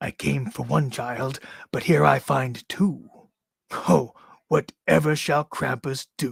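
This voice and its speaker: A man uses a raspy put-on character voice at a medium pitch. He speaks at a fairly slow pace. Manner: lilting, teasing, menacing.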